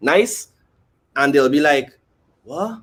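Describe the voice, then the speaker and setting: Talking at a fairly quick pace, a man speaks with a Trinidadian accent. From Trinidad and Tobago. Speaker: musician. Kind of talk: casual chat.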